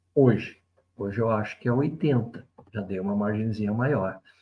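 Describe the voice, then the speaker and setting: A man speaks in a dark, mellow tone. His pace is fairly slow and somewhat breathy. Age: 60s. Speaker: spiritual commentator, video essayist. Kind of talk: reflective monologue. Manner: conversational, reflective.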